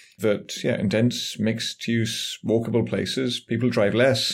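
A man with an English accent, medium-pitched and very slow, with fairly even intonation, on a very clean recording with a silent background. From England. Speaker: urban planning professor. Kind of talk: interview.

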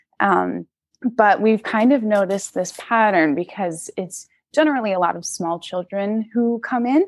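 A woman with an unremarkable speaking voice talks at a moderate pace and medium pitch with ordinary pitch variation, the sound dry and close with no echo. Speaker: zookeeper. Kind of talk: casual interview chat.

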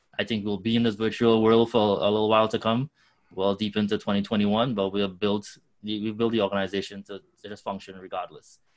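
With a Trinidadian accent, a man speaks at a fairly low pitch and a fairly quick pace. His intonation is monotone and flat, and the background is quiet. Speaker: nonprofit co-founder. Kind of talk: interview.

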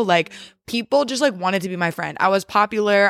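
On a very clean recording with a silent background and a dry, close sound with no echo, a woman speaks at a fairly quick pace and a medium pitch in a plain, everyday voice. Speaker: guest, host's sister, former elementary educator. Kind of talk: casual chat. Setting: at parents' home on couch.

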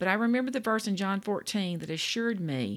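Against a silent background on a very clean recording, a woman speaks with a Louisiana accent. Her voice is medium in pitch, with lively intonation and a fairly quick pace. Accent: Louisiana Southern US. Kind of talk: devotional talk. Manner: warm, folksy.

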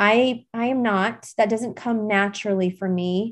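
A woman's normal speaking voice at a fairly high pitch and fairly slow pace, with ordinary pitch variation and a quiet background. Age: 40s. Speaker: podcast host. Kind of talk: solo self-help talk. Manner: casual with frequent laughs and fillers.

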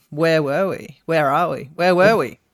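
In a very clean recording with a silent background, a woman with an Australian accent speaks at a fairly low pitch. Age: 40s. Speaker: podcast co-host. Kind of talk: casual chat.

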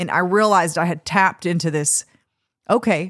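On a very clean recording with a silent background and a dry, close sound with no echo, a woman with an American accent speaks at a moderate pace, fairly low in pitch, with fairly even intonation. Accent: Texas-tinged general American, slight. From Minnesota, US Upper Midwest. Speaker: country musician and songwriter. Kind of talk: casual interview chat. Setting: studio.

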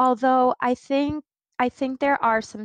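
In an American accent, a woman talks at a fairly slow pace with ordinary pitch variation, an ordinary speaking voice. The recording is very clean with a silent background, the sound dry and close with no echo. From Central New York. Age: 30s. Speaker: diversity consultant. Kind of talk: podcast interview.

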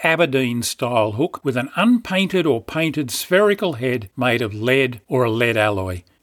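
The speaker has an Australian accent, very wide pitch swings and a moderate pace. The recording is very clean, with a silent background. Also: man. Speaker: fishing podcaster. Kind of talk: scripted narration.

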